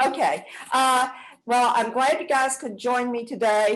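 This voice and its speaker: A woman speaks with a strong Southern US accent at a fairly slow pace. The background is quiet. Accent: thick Southern US. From US South, South Georgia. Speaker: acupuncturist and health care provider. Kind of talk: online presentation. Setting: online webinar.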